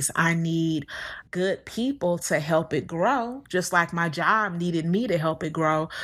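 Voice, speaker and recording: A woman with a normal speaking voice talks fairly slowly at a fairly low pitch, with ordinary pitch variation. The recording is very clean, with a silent background. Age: 30s. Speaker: podcast host, financial coach. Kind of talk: casual monologue.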